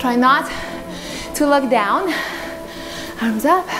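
With clear music in the background, a woman speaks at a high pitch. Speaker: fitness instructor. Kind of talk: workout instruction. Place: empty room.

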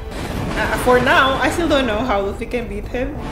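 Over loud background music, a woman talks at a fairly slow pace. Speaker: anime reaction creator. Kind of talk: reaction commentary.

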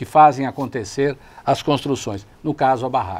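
A man speaks at a moderate pace. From Brazil, São Caetano do Sul (São Paulo ABC region); São Paulo, Brazil. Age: 60s. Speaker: lawyer and city councillor, co-host; lawyer, city councillor, co-host. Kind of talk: TV talk show discussion. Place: studio. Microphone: lapel.

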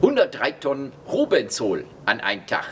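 There is light background noise. A man speaks at a very slow pace. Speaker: tour guide. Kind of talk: guided tour explanation. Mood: humorous, chatty. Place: factory.

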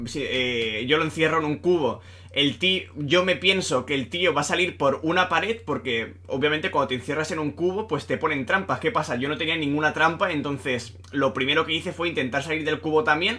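The man has a fairly high pitch, an animated tone and lively intonation. He keeps a moderate pace with hardly any pauses. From Spain. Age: 20s. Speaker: gaming YouTuber. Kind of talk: gameplay commentary; video intro to viewers. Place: home room. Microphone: webcam.

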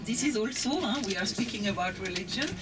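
A woman at medium pitch, fast and with lively intonation, over clear background noise

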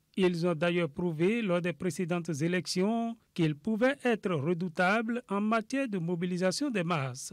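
Pitched high for a man, this speaker talks at a fairly slow pace with hardly any pauses and ordinary pitch variation, in a dry, close sound with no echo. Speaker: TV news reporter. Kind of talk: news report narration.

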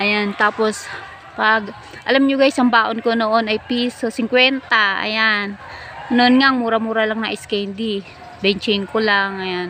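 Very slowly and with fairly even intonation, a woman speaks at a fairly high pitch over noticeable background noise. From Philippines, Manila (moved from Negros Oriental at 5). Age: old. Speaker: vlogger. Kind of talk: casual storytelling monologue. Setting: outdoors sitting among trees. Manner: chatty with frequent laughs.

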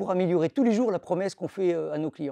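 A man's high-pitched voice, dark and mellow in tone, with lively intonation, in a dry sound with no echo against a quiet background. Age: 30s. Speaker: supply chain director at a retailer. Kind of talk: corporate recruitment testimonial. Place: office.

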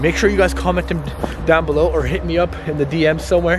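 A man talks at a very fast pace. The sound is dry with no echo, and music plays in the background. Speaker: vlogger exploring abandoned places. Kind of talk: casual vlog chat. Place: open country. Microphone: phone near.

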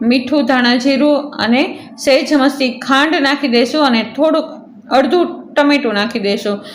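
A woman's high voice with ordinary pitch variation, audible room echo, and noticeable background noise. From Saurashtra, Gujarat. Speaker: family vlogger. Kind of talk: vlog narration.

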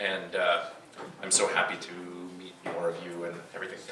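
A man's voice over noticeable background noise. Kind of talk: stage banter introduction. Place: stage.

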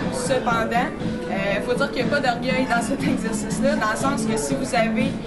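Loud music plays in the background as a woman speaks at a moderate pace with ordinary pitch variation. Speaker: kinesiologist instructor. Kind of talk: tutorial. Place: gym. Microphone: camera far.

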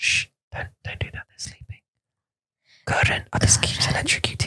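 Someone speaks in a whisper. The pace is moderate. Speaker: podcast host. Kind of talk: bilingual language podcast. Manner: whispered.

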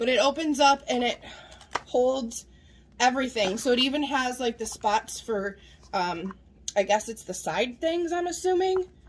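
A woman speaks at a moderate pace in a high pitch. Her voice moves through very wide pitch swings. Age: 40s. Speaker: vlogger, mother; vlogger. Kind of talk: casual vlog, haul show-and-tell. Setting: home kitchen. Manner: animated. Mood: cheerful, chatty. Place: kitchen. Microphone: phone near.

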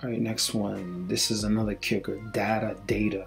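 Over music in the background, a man talks in a relaxed tone with a Brooklyn accent. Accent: New York City (Brooklyn). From Brooklyn, New York City. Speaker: English teacher. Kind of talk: casual talk to camera. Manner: relaxed, chatty.

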